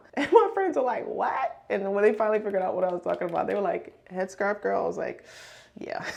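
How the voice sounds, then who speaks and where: A woman's very fast speech in an American accent over noticeable background noise. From Brooklyn, New York. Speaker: beauty and fashion content creator. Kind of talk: casual get-ready-with-me chat.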